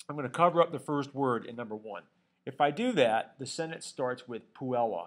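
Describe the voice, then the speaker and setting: With an unremarkable speaking voice, the speaker goes at a fairly quick pace with lively intonation and big swings in loudness. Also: man, medium pitch for a man. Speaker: Latin teacher. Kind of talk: tutorial.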